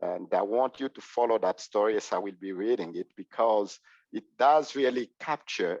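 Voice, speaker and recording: A man speaks with a Congolese accent. The sound is dry and close with no echo, over a quiet background. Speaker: clergy presenter. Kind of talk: presentation. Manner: halting, many fillers.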